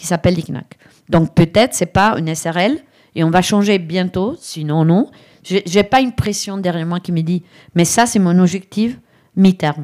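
A woman with an Italian accent talks at a moderate pace and a medium pitch, with ordinary pitch variation, in a very clean recording with a silent background. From Italy, Brescia. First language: Italian (speaking French). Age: 50s. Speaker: digital strategy consultant. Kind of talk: live interview before audience.

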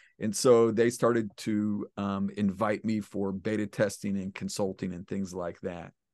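Against a quiet background, a man with a fairly low pitch talks at a fairly slow pace with hardly any pauses. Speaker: internet marketer. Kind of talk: casual interview.

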